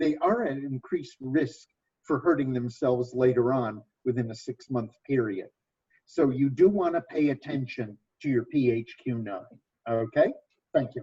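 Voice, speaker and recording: Somewhat breathy and dark, mellow in tone, a man speaks at a moderate pace with ordinary pitch variation. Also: medium pitch for a man. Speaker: nurse educator. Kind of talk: training presentation.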